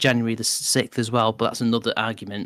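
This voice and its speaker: The voice comes with a Mancunian accent at a fairly quick pace. The sound is dry and close with no echo, on a very clean recording with a silent background. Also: man. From northern England, Manchester. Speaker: podcast co-host. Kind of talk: casual chat. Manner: animated.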